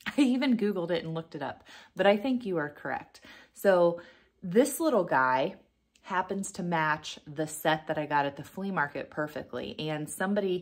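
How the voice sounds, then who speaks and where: An unremarkable speaking voice from a woman at a moderate pace, with a quiet background. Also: fairly low pitch for a woman, lively intonation. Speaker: vintage reseller. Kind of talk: casual vlog chat. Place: home room. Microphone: phone near.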